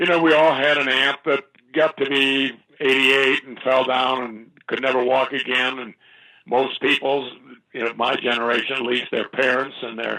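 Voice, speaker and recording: Speaking at a moderate pace in an American accent, a man keeps his medium pitch in monotone, flat intonation. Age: 80s+. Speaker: fitness advocate. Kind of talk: interview. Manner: halting.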